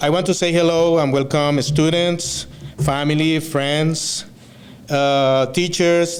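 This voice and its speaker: A man talks at a fairly slow pace with a Spanish accent. There is noticeable background noise and audible room echo. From Venezuela. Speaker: student speaker. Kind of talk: graduation speech. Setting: stage with audience. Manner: halting, many fillers.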